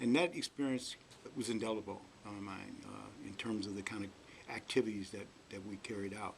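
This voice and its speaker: Speaking at a fairly quick pace with an American accent, a man uses a fairly low pitch, vocal fry, and ordinary pitch variation. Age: 60s. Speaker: community organizer. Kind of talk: interview. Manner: halting, many fillers.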